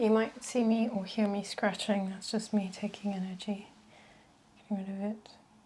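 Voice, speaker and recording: A soft-spoken woman talks at a moderate pace in a calm, gentle tone that is dark and mellow. Her voice is somewhat breathy, with monotone, flat intonation. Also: medium pitch for a woman. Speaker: reiki practitioner and wellness educator. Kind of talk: reiki session guidance. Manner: soft-spoken, calm, gentle.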